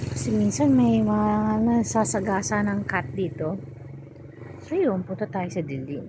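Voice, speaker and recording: Speaking at a fairly slow pace, a woman uses a very deep, low pitch with very wide pitch swings, and room echo is audible. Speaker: vlogger. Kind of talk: casual vlog walk-through. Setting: outdoors at night, walking on the street. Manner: casual, halting with fillers.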